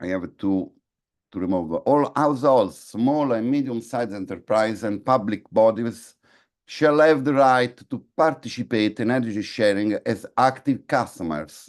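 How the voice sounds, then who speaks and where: At a fairly slow pace, a man with a non-native accent speaks at a medium pitch with ordinary pitch variation against a quiet background. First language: not English. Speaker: conference speaker on energy policy. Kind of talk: conference presentation. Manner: halting, many fillers and repetitions.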